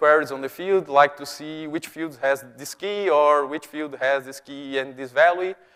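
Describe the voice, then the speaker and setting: Here a man speaks with a Brazilian accent at a fairly high pitch. His pace is moderate and his intonation fairly even. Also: hardly any pauses, big swings in loudness. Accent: Brazilian, noticeable. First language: Portuguese. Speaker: software developer, conference speaker. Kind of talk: conference talk. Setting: stage with audience. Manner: halting.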